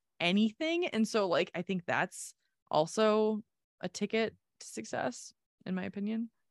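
A woman's fairly high, animated voice at a moderate pace over a quiet background. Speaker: podcast co-host. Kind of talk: casual chat.

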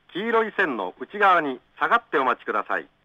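This man speaks at a high pitch, with very wide pitch swings. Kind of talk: train station platform announcement. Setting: PA system.

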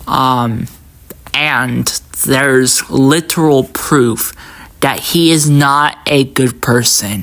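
Over noticeable background noise, a woman talks very slowly with a very deep, low pitch, fairly even intonation and very even loudness. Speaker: commentary YouTuber. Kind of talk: angry rant, commentary. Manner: indignant, emphatic, ranting.

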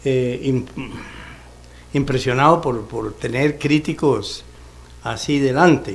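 Speaking very slowly, a man with a fairly high pitch shows ordinary pitch variation. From Costa Rica, Desamparados. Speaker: retired professor of economics and ethics. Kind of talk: panel talk. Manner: halting. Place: studio. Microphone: studio mic.

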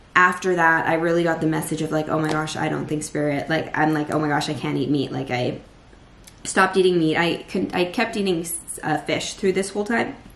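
A woman speaks at a fairly quick pace in a very deep, low voice with ordinary pitch variation, and room echo can be heard. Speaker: vlogger. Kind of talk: casual vlog chat. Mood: earnest, reflective. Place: kitchen. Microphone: phone near.

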